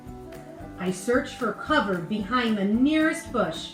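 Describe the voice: Lively intonation in plain reading aloud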